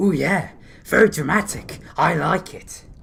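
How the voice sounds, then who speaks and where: The pitch sits in the middle range. It is a put-on character voice. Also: moderate pace. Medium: audio drama. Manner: playful.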